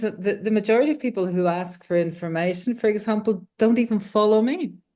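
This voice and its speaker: A woman speaks fairly quickly in a fairly high pitch with ordinary pitch variation. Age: 60s. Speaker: accountant and online money coach. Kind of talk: coaching call, describing her situation. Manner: halting, many fillers and restarts.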